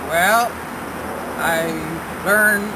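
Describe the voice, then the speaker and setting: A man speaks at a very slow pace. Loud background noise fills the recording. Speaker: trash picker. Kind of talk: interview answer. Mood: wry, humorous. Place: farm. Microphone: camera far.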